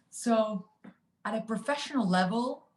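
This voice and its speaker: A woman with a Spanish accent talks in a somewhat breathy voice. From Argentina, Buenos Aires. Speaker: finance executive. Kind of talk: interview. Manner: hesitant, many fillers.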